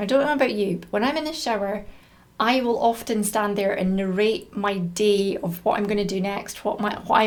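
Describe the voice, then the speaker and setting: A woman with a Scottish accent, fairly quick pace and ordinary pitch variation. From Scotland. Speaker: business coach and content creator. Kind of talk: tutorial. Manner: casual and conversational.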